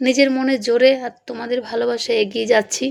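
Through noticeable background noise, a woman speaks at a high pitch in a monotone, flat intonation. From West Bengal, India (Purulia). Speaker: vlogger, housewife. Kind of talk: voice-over vlog narration.

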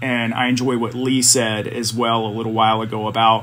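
A man with an American accent speaks at a medium pitch and a moderate pace in a flat monotone. Noticeable background noise and audible room echo fill the recording. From US South, South Carolina. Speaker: assistant principal and photographer. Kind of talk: casual chat.

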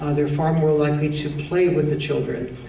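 The setting carries audible room echo and a light layer of noise. The voice belongs to a man. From United States. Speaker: educator, author and men's issues speaker. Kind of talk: lecture to an audience. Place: hall. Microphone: podium.

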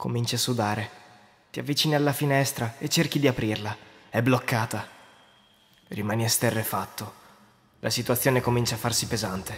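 A somewhat breathy, dramatic delivery at a fairly quick pace, with fairly even intonation and long, frequent pauses. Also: man, medium pitch for a man. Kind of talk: scripted creepypasta narration in second person, told as a ghost story. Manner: hushed, suspenseful, dramatic and tense, building dread.

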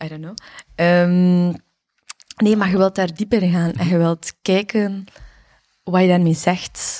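The voice has a dark, mellow tone and monotone, flat intonation at a very slow pace. Loudness swings widely, long pauses come often, and the background is quiet. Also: woman, fairly low pitch for a woman. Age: 30s. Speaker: dancer and dance workshop teacher; dance workshop teacher. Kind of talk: casual chat. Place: studio. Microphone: studio mic.

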